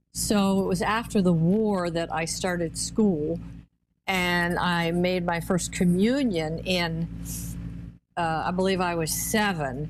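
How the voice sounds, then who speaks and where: Very slow, fairly low-pitched speech from a woman, ordinary pitch variation, and audible room echo. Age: 80s+. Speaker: pro-life activist. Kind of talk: testimony. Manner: halting, many fillers.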